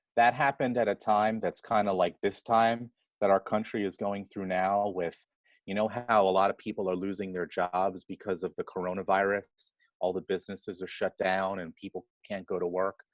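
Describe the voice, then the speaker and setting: In an American accent, a man talks at a fairly quick pace with fairly even intonation. His fairly low pitch comes in a normal speaking voice. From Queens, New York City. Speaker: nonprofit executive. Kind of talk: interview.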